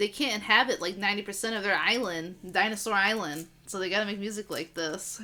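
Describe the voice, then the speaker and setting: Over noticeable background noise, a woman with an American accent talks at a very fast pace with hardly any pauses, at a medium pitch with ordinary pitch variation. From Massachusetts, US. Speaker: podcast host, music reviewer. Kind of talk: casual chat. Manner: animated.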